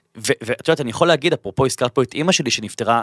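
A man's voice with lively intonation, dry and close with no echo, on a very clean recording with a silent background. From Israel, Bat Yam. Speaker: podcast host. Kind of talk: interview; scripted intro. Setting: studio.

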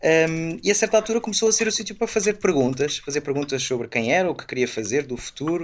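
Very wide pitch swings and a very fast pace from a male speaker. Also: fairly high pitch for a man. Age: 30s. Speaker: Jesuit priest. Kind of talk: interview.

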